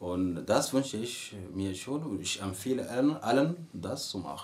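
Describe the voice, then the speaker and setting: A man's fairly low, somewhat breathy voice at a fairly slow pace, with an Arabic accent. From Sudan. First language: Arabic (speaking German). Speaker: university student. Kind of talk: interview. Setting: indoors in host's apartment, windows closed. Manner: halting, many repetitions and fillers.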